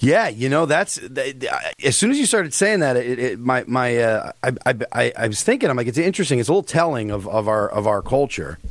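In an American accent, a man with an ordinary speaking voice and medium pitch talks with lively intonation and hardly any pauses. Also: fairly quick pace. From US East Coast. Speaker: comedian. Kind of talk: casual chat.

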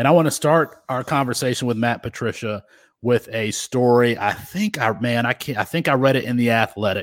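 A man with an American accent and an unremarkable speaking voice, medium in pitch with ordinary pitch variation, at a fairly quick pace, in a very clean recording with a silent background and a dry, close sound with no echo. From Michigan (Kalamazoo). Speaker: sports podcast host. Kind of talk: casual sports chat.

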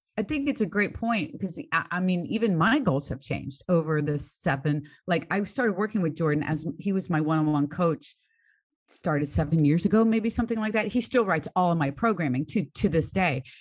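A woman's somewhat breathy voice, fairly low in pitch, with lively intonation, a fairly quick pace and a quiet background. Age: 60s. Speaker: fitness coach. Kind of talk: casual chat.

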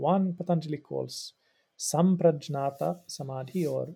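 A somewhat breathy man, fairly high in pitch, with a dark, mellow tone, on a very clean recording over a silent background. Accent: Swedish. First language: Swedish. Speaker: religious studies professor and yoga practitioner. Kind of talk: interview, explanatory. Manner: halting, with repetitions.

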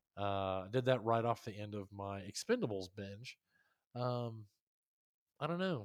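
In a plain, everyday voice, a man talks with ordinary pitch variation. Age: 30s. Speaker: podcast co-host and soldier. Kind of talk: casual chat.

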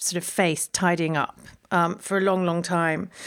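In a London accent, a woman speaks at a moderate pace with fairly low pitch and fairly even intonation, on a very clean recording with a silent background. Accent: southern English (London). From London, England. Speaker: gardener and writer. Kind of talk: casual interview chat. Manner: hesitant, many fillers and repeats.

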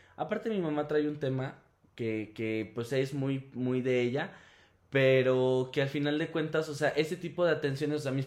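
A man speaks at a fairly high pitch. It is a plain, everyday voice. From León, Guanajuato, Mexico. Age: 20s. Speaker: performance artist. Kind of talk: casual chat.

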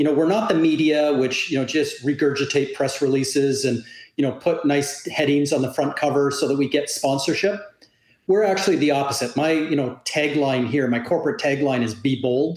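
This man has a plain, everyday voice with a Canadian accent, pitched fairly high. He talks fairly quickly, with ordinary pitch variation and very even loudness. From Canada. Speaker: industry analyst. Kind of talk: interview. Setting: remote call.

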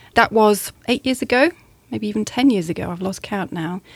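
At a fairly quick pace, a woman speaks with lively intonation in a fairly high voice. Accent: southern English. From southern England. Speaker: English teacher and coach. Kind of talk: interview.

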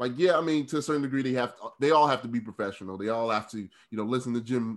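This man has a normal speaking voice at a medium pitch with ordinary pitch variation, heard in a very clean recording with a silent background. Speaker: sports journalist. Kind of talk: casual interview chat.

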